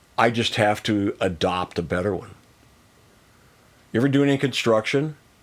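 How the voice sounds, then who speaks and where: An ordinary speaking voice from a man, fairly low-pitched with an American accent, lively intonation and a moderate pace, on a very clean recording with a silent background. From US, Missouri and Las Vegas area. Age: 60s. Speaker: singer-songwriter and coach. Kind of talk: casual chat.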